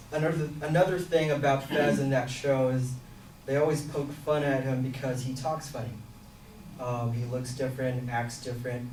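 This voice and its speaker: A man speaks at a moderate pace with monotone, flat intonation. Audible room echo and noticeable background noise surround him. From Philippines and Singapore. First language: Filipino. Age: 20s. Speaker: student. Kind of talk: class self-introduction presentation.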